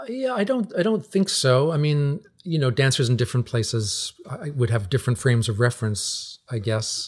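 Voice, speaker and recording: A somewhat breathy man's voice, fairly high in pitch, with very wide pitch swings and a fairly quick pace. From Newfoundland, Canada. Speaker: folk musician and teacher. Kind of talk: casual interview. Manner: halting, many repeated words and fillers.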